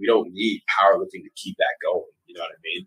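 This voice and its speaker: Talking at a very fast pace with an American accent, a man comes through in a dry, close sound with no echo. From Texas. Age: 30s. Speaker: powerlifting coach. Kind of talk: casual interview chat. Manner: animated.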